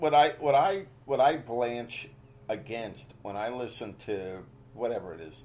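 This man's voice has a dark, mellow tone. His intonation is lively. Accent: American. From Boston area, US. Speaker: podcast host, amateur golfer. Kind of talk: casual chat. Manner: animated.

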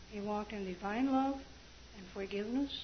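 Against noticeable background noise, a woman of medium pitch talks at a fairly slow pace with ordinary pitch variation. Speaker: audience member. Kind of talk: comment from the floor. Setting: church meeting, speaking on a mic.

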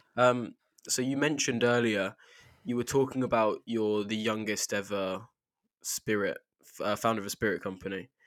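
A man with a plain, everyday voice, medium pitch and fairly even intonation at a moderate pace, in a dry, close sound with no echo on a very clean recording with a silent background. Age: young. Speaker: podcast host. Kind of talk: interview; podcast outro.

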